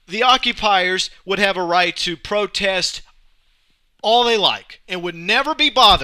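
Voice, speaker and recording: High-pitched male voice, raised and projected, bright and sharp in tone, with ordinary pitch variation and a fairly slow pace on a very clean recording with a silent background. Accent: American. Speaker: alternative talk show host. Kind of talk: political rant monologue. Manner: rambling, not eloquent.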